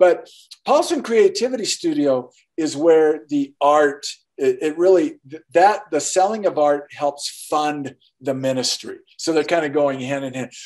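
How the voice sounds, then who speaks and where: Speaking at a fairly slow pace, a man with a fairly high voice and ordinary pitch variation is heard against a quiet background. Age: 60s. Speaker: artist and author; podcast guest. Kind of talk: interview. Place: home room. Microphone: video call.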